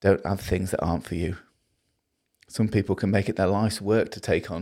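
A man's very deep, low voice in a Liverpool accent, fairly quick and monotone, on a very clean recording with a silent background. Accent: Scouse (Liverpool). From Liverpool, northern England. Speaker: preacher. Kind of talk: sermon.

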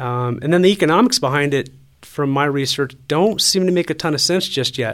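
Lively intonation runs through a man's normal speaking voice as he talks at a fairly quick pace. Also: fairly high pitch for a man. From Colorado, Colorado Springs area. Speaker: city council candidate. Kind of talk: interview.

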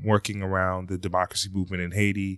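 This man speaks in a fairly low pitch with an American accent. The recording is very clean with a silent background, and the sound is dry and close with no echo. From US, Philadelphia. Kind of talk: podcast interview discussion. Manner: halting, many fillers.

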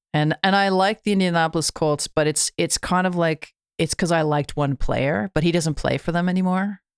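A woman's fairly low, normal speaking voice with a Canadian accent, fairly quick and with hardly any pauses, very even in loudness and fairly even in intonation, on a dry, close, very clean recording with a silent background. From Canada. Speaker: musician. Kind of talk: casual chat.

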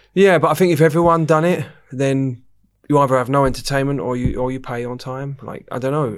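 A man speaks at a very fast pace with fairly even intonation. The recording is very clean, with a silent background. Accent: English. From England. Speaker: nightclub general manager. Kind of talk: casual chat. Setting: studio.

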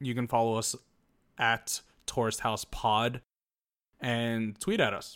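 A plain, everyday voice from a man, medium in pitch and fairly slow in pace, on a very clean recording with a silent background. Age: 30s. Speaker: podcast co-host. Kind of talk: casual chat.

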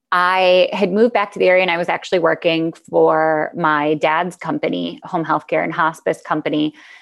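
Speaking with hardly any pauses, a woman with an American accent has a fairly low pitch and vocal fry. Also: ordinary pitch variation, moderate pace. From Michigan. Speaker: real estate developer. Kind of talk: interview.

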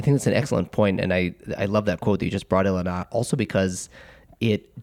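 A man at a very fast pace. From Israel. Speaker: lawyer and podcast co-host. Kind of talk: panel discussion.

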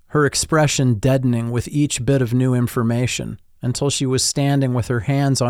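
An unforced reading voice delivers the words with fairly even intonation.

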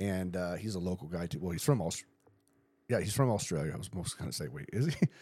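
A man's very deep, low voice in an American accent, very fast and with lively intonation. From San Diego County, California. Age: 40s. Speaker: podcast host. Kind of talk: casual chat.

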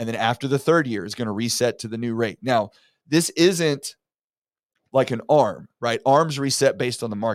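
The sound is dry and close with no echo. A man speaks at a moderate pace and medium pitch with ordinary pitch variation. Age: 40s. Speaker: mortgage loan officer and podcast host. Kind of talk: solo educational talk. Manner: casual, with many fillers and repetitions.

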